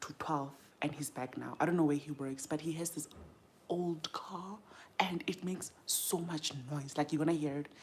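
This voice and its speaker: Soft-spoken and very deep, low in pitch, a woman talks at a moderate pace with fairly even intonation and big swings in loudness. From South Africa. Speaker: beauty content creator. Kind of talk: casual livestream chat. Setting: livestream at home. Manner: chatty.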